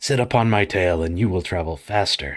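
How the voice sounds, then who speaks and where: A man in a put-on character voice goes very deep and low at a moderate pace. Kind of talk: fairy tale reading. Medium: read story. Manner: measured, advising.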